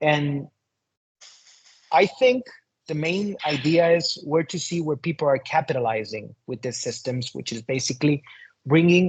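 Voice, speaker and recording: A man with a Spanish accent speaks at a fairly slow pace in a somewhat breathy, fairly high voice, his pitch rising and falling in an ordinary way. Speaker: shaman and occult teacher. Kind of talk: interview conversation.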